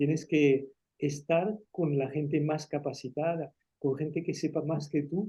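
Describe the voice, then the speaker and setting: A man with a French accent speaks fairly high, at a fairly slow pace. His tone is dark, mellow and somewhat breathy, with fairly even intonation. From France, rural Auvergne town, Spanish-speaking refugee parents. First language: French (speaking Spanish). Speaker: engineer and writer. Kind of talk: interview. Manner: halting.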